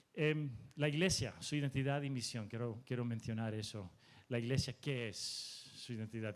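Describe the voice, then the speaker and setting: A man with a medium pitch talks at a fairly slow pace, his pitch moving in an ordinary way. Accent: Spanish. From Mexico. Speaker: preacher. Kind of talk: sermon.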